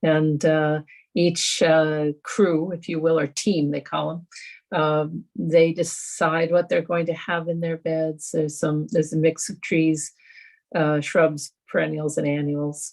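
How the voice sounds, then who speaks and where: A woman's very deep, low voice at a very slow pace, monotone and flat, on a very clean recording with a silent background. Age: 70s. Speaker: environmental volunteer organizer. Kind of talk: panel discussion. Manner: halting, many fillers.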